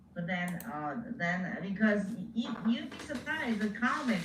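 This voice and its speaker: Someone with a non-native accent speaks with lively intonation. Audible room echo surrounds the voice, with music in the background. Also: woman. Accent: foreign accent, moderately heavy. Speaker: comedian. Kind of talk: interview.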